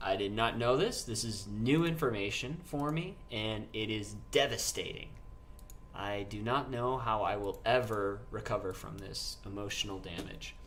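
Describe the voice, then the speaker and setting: Male voice with ordinary pitch variation and audible room echo. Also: medium pitch for a man. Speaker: gaming streamer. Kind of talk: live stream gameplay chat. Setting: live stream. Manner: slow; casual.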